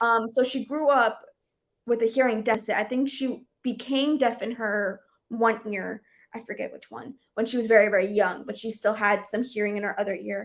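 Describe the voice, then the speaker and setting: A woman speaks at a moderate pace with a fairly high pitch and fairly even intonation, her loudness swinging widely. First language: Portuguese. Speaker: book livestream host. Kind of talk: casual chat. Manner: casual, many fillers.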